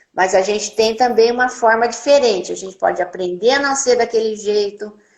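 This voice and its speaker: A woman speaks at a moderate pace with fairly high pitch and fairly even intonation. She has an unremarkable speaking voice. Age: 60s. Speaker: nurse. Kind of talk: testimony. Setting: live video stream.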